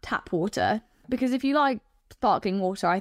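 A woman with a fairly high pitch speaks in an animated tone at a moderate pace. The sound is dry and close with no echo, on a very clean recording with a silent background. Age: 20s. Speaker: dating show contestant. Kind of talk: casual chat. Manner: animated, laughing often.

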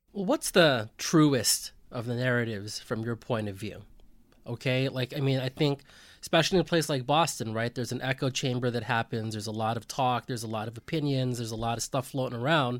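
A man with a plain, everyday voice talks at a fairly quick pace with ordinary pitch variation, on a very clean recording against a silent background. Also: medium pitch for a man. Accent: American. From US West Coast, San Francisco. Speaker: sportswriter, podcast host. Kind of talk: casual chat.

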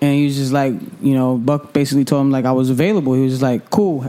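A man talks at a very fast pace with an American accent, his pitch fairly high. Background noise is noticeable. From Hartford, Connecticut, US Northeast. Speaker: radio DJ. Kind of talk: casual interview chat.

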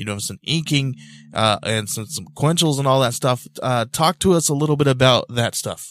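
A man at medium pitch speaks at a moderate pace with ordinary pitch variation and big swings in loudness, recorded very cleanly against a silent background. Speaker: podcast host. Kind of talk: casual interview chat. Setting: home studio with microphone and mixer.

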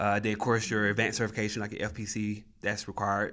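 A man talks with a Southern US accent. His pace is very fast and his intonation monotone and flat. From Tennessee. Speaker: flight paramedic. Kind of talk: interview conversation. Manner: hesitant, many fillers.

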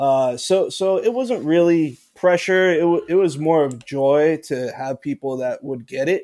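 A man with a fairly high pitch and a dark, mellow tone speaks at a fairly slow pace with hardly any pauses and ordinary pitch variation. The recording is very clean, with a silent background. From Puerto Rico. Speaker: bartender. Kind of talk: casual chat.

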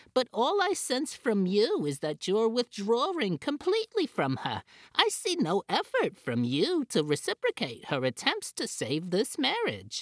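The voice sits fairly high in pitch and runs on with hardly any pauses. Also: moderate pace. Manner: calm therapist, turning accusatory.

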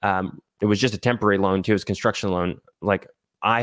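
A man's fairly low voice with an American accent, a normal speaking voice, fairly even intonation and a fairly quick pace, in a very clean recording with a silent background and a dry, close sound with no echo. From Texas. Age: 20s. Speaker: short-term rental entrepreneur. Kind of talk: casual interview.

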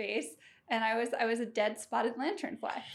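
A woman with a plain, everyday voice speaks at a fairly high pitch with fairly even intonation, in a very clean recording with a silent background. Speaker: guest. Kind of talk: casual chat.

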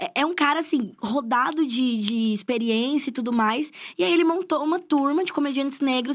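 An animated, high-pitched woman speaking at a fairly quick pace, with ordinary pitch variation, hardly any pauses, and a very clean recording with a silent background. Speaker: comedian and screenwriter. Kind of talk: casual chat.

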